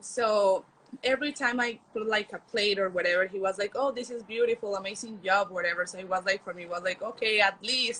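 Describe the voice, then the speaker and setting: Speaking at a fairly quick pace with a Spanish accent, a woman uses a medium pitch, ordinary pitch variation and big swings in loudness. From Colombia. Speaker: culinary exchange intern. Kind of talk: testimonial interview. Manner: halting.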